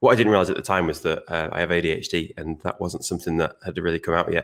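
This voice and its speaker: Very fast speech in a Manchester accent, fairly even in intonation, on a very clean recording with a silent background. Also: man, very deep, low pitch for a man. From northern England, Stockport (South Manchester). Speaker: designer. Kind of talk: podcast interview.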